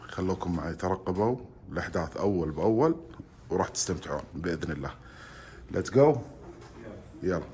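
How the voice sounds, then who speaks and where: A man speaks quietly at a moderate pace, his very deep, low voice broken by long, frequent pauses. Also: lively intonation. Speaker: travel vlogger. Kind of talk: casual vlog. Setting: restaurant. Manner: quiet, holding voice down.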